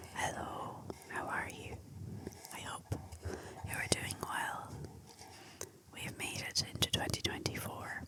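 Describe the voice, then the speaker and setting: Someone whispers at a fairly slow pace. Noticeable background noise sits behind the voice. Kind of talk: ASMR fact talk. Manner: whispered.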